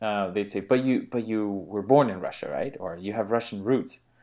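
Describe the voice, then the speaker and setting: Against a quiet background, a man with a plain, everyday voice talks at a moderate pace in a fairly low pitch with ordinary pitch variation. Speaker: podcast host. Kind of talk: casual conversation.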